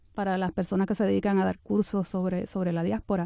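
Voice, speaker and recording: A woman speaks with a dark, mellow tone. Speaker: radio host. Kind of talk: interview.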